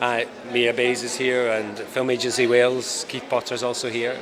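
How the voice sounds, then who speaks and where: Medium pitch from a man at a moderate pace, over noticeable background noise. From Scotland. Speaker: film director. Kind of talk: interview. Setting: film festival event.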